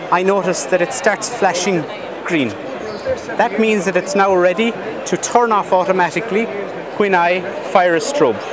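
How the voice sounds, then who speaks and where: A man talks at a moderate pace with ordinary pitch variation and long, frequent pauses. Noticeable background noise is present, and the sound is dry with no echo. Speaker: exhibitor demonstrating a product. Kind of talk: product demo. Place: hall.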